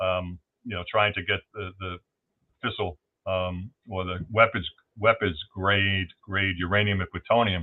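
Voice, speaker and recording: Very deep, low male voice in a Brooklyn accent, monotone and flat, at a fairly slow pace. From New York City, Brooklyn. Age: 60s. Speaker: whistleblower. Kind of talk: interview. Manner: halting, many fillers and repeats.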